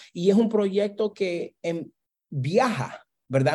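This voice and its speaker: A man's dark, mellow voice moves through very wide pitch swings. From Brooklyn, New York (Honduran Garifuna parents). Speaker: professor. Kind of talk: interview.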